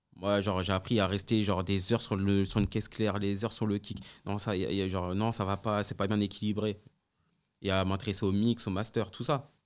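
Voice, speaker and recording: At a fairly quick pace, the speech comes in a monotone, flat intonation on a very clean recording with a silent background. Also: man, fairly low pitch for a man. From France, Congolese heritage. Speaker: music producer. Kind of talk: casual interview.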